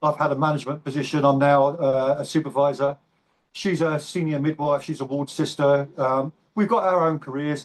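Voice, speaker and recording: A man's fairly high voice with an English accent at a moderate pace. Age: 60s. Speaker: bodybuilder and navy veteran. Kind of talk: interview. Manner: halting.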